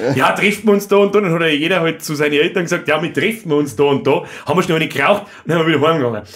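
The pace is very fast. This man's pitch varies in an ordinary way. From Bavaria. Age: 30s. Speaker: podcast host. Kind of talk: casual chat. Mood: joking, animated. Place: studio. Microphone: studio mic.

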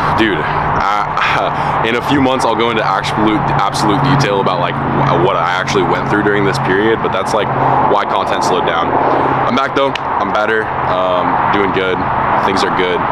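Amid loud background noise, a man keeps to a moderate pace. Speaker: fitness vlogger. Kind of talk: casual vlog chat. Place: street. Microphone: phone near.

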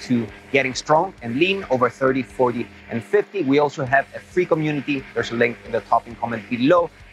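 Faint music plays in the background of a dry recording with no echo. A man speaks at a fairly quick pace with ordinary pitch variation. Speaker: fitness coach. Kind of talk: casual vlog intro. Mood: upbeat, relaxed. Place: open country.

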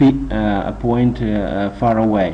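A man speaks very slowly in a non-native accent, his pitch fairly low with ordinary variation. Noticeable background noise runs under his voice. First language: not English. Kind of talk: casual instructional talk to camera. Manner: hesitant, many filler sounds.

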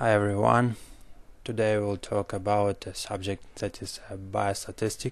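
A man with a strong non-native accent, moderate pace, fairly even intonation and big swings in loudness. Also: fairly low pitch for a man. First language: not English. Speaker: medical doctor. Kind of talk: educational lecture.

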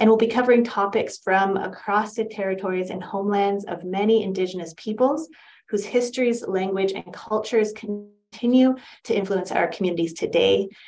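Over faint music in the background, a woman talks at a fairly quick pace with fairly even intonation. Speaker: webinar facilitator. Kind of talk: formal welcome and land acknowledgement. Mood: warm, polite. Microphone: video call.

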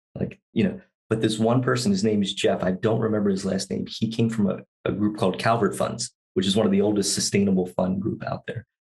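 Very fast, somewhat breathy speech over a quiet background. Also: man, fairly low pitch for a man, fairly even intonation. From US East Coast. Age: 40s. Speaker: sustainable investor. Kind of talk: casual chat. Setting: studio. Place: home room. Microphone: studio mic.

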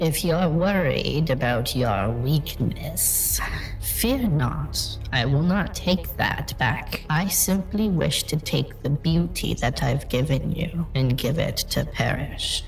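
A man's put-on character voice at a fairly slow pace, over clear background noise. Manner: calm, knowing, faintly menacing.

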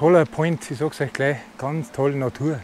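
A man with a Bavarian accent speaks at a fairly slow pace in a fairly high pitch. The sound is dry with no echo, over light background noise. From Bavaria, Germany. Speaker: e-bike touring vlogger. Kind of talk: casual talk to camera. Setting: outdoors. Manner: enthusiastic. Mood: relaxed, enthusiastic. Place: waterside. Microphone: phone near.

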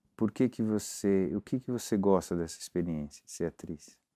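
Against a quiet background, a man speaks at a fairly slow pace with a fairly low pitch. His tone is dark and mellow, and his pitch varies in an ordinary way. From Brazil. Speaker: interviewer, talk show host. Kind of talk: interview. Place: office. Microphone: lapel.

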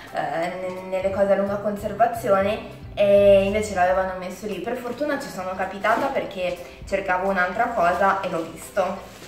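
A woman at a moderate pace with fairly even intonation, audible room echo and faint music in the background. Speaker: food vlogger. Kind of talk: casual vlog chat. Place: kitchen. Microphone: camera far.

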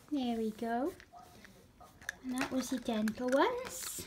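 A woman's high voice, with ordinary pitch variation, is heard amid noticeable background noise. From Wales. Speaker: cat owner. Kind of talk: talking to a pet. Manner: affectionate, coaxing. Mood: affectionate, playful. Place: home room. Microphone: phone near.

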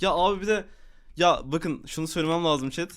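A man's voice, very cleanly recorded over a silent background. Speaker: gaming streamer. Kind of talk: casual live stream chat. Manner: animated.

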